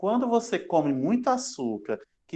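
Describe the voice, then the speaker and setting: Pitch swings very widely in this man's voice. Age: 30s. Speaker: university lecturer. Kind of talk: lecture. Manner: fast; casual, joking.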